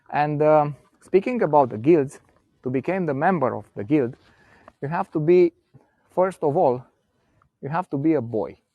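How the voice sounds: Here a man speaks with a fairly high pitch. His intonation is lively and his pace moderate.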